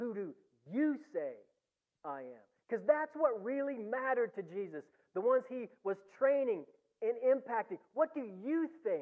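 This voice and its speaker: Pitched extremely high, a man talks at a fairly slow pace with lively intonation and big swings in loudness. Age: 60s. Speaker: preacher. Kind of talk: sermon. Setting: church.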